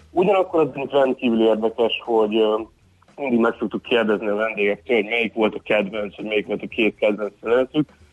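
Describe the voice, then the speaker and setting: A man delivers his words fairly quickly, holding a medium pitch and ordinary pitch variation. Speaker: tour company manager. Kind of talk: phone interview. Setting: phone call. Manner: halting, repeats words.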